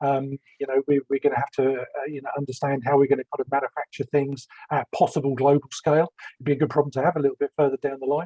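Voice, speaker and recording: Very fast, monotone, flat male speech in a London accent, at a fairly high pitch. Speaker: business development executive. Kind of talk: panel discussion.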